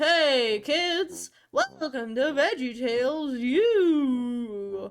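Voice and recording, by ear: A female-sounding, put-on character voice speaks very slowly at a high pitch.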